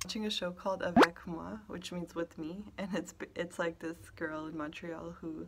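Vocal fry marks this woman's fairly low voice. She speaks at a moderate pace. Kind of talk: casual vlog chat. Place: office. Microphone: phone near.

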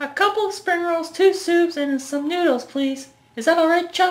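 Using a put-on character voice, a woman speaks at a moderate pace in a squeaky, extremely high pitch. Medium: short film. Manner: casual, friendly.

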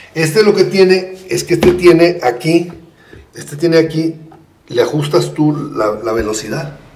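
Speech comes at a fairly slow pace with lively intonation. Audible room echo and noticeable background noise surround it. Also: man, fairly high pitch for a man. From rural Mexico. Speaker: photographer. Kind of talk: casual chat. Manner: halting.

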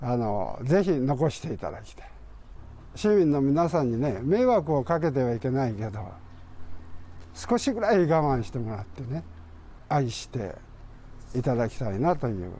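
A man with a dark, mellow tone and a somewhat breathy voice speaks at a moderate pace with very wide pitch swings, big swings in loudness, and long, frequent pauses over light background noise. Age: 70s. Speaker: retired postal worker and photographer. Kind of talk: interview; interview answer. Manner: halting.

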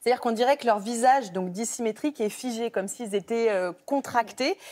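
Delivery is at a moderate pace with lively intonation. The background is quiet. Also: woman. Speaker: health reporter. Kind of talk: TV reporting. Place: studio. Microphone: lapel.

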